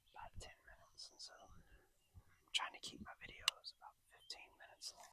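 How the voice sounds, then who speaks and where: A man is whispering. He keeps a moderate pace. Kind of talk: ASMR fishing vlog. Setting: outdoors. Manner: soft whispering.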